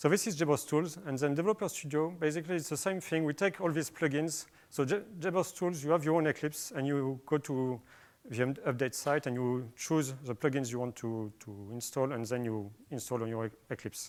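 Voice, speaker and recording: The speaker has a French accent and ordinary pitch variation. The recording is very clean, with a silent background. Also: man, fairly high pitch for a man, fairly quick pace. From France. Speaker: software developer. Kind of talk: conference talk. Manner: hesitant, many fillers.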